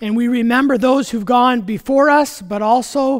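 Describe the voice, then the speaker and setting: A man's extremely high-pitched voice at a fairly slow pace, with ordinary pitch variation and a quiet background. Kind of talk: welcome and announcements, then liturgy. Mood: warm, welcoming. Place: church. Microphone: headset.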